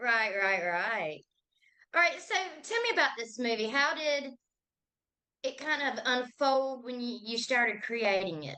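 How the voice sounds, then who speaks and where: Speaking with a Southern US accent, a woman has a high pitch, a bright, sharp tone, lively intonation, a fairly slow pace and long, frequent pauses. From Georgia. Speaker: interviewer. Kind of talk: interview.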